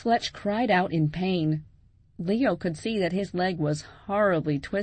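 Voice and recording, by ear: Someone reads text out loud in a natural voice. The pitch shifts by a usual amount.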